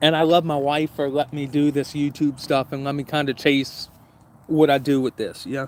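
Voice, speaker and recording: Using a flat monotone, a man with an American accent speaks at a fairly high pitch. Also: moderate pace. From US South, southern Louisiana. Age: 30s. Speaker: YouTuber, camping channel host. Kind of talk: casual livestream chat. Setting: outdoors, backyard by fire pit.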